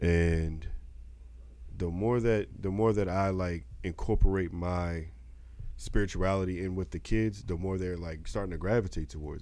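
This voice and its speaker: Very deep and low, a man's dark, mellow voice moves at a moderate pace with ordinary pitch variation. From Baltimore. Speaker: podcast co-host. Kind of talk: casual chat.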